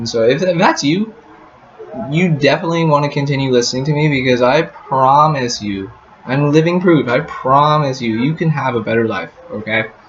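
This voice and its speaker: This man has an American accent and a fairly high pitch, with ordinary pitch variation. He talks at a moderate pace over noticeable background noise. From US, Colorado. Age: 20s. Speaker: travel vlogger. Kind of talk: casual vlog talk to camera. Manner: repetitive, halting filler words.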